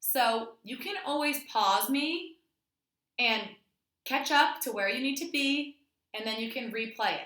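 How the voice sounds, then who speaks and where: Raised and projected, a woman's high voice has a bright, sharp tone and ordinary pitch variation, moving at a fairly slow pace with long, frequent pauses. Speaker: elementary school teacher. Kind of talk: tutorial.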